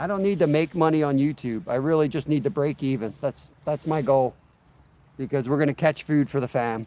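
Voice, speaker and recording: A man with a fairly high pitch, ordinary pitch variation, a dark, mellow and relaxed tone, and a fairly quick pace, in a dry, close sound with no echo. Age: 40s. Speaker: fishing livestreamer. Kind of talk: casual livestream chat. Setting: outdoors.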